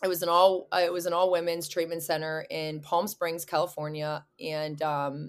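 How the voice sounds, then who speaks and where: Her pitch is fairly low for a woman, in a plain, everyday voice with an American accent. Her intonation stays fairly even. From Pittsburgh, Pennsylvania. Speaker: video creator and bartender in recovery. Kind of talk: personal testimony in interview.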